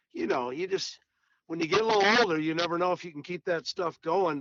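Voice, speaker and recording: Speaking at a fairly quick pace with ordinary pitch variation, this is an unremarkable speaking voice. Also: man. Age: 60s. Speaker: golf pro and teacher. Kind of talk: casual interview.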